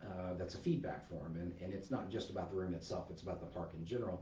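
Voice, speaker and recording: A soft-spoken man's very deep, low voice with ordinary pitch variation, noticeable background noise and audible room echo. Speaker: park manager. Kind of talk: livestreamed staff update. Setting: livestream. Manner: hesitant, many fillers.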